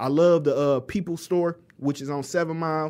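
Recorded very cleanly with a silent background, a man speaks at a fairly high pitch and moderate pace with fairly even intonation. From Inkster, Michigan (Detroit area). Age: 30s. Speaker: community activist. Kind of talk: casual chat.

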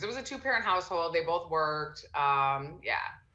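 A woman with a medium pitch talks at a moderate pace, with audible room echo. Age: 30s. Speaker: entrepreneur and mother. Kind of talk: casual chat.

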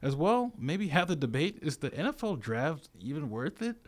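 Pitch swings very widely as a man talks with an American accent. The recording is very clean, with a silent background. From Virginia. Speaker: college radio sports host. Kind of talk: casual sports talk; radio station ID read. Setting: radio studio.

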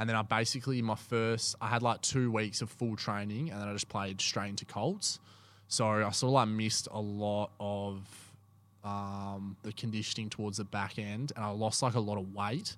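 At a moderate pace and fairly low pitch, a man with an Australian accent speaks in a monotone, flat intonation on a very clean recording with a silent background. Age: 20s. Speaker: amateur footballer. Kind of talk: casual chat.

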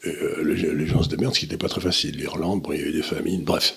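Someone talks very fast over noticeable background noise. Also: man. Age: old. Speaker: economic commentator. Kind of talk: casual discussion.

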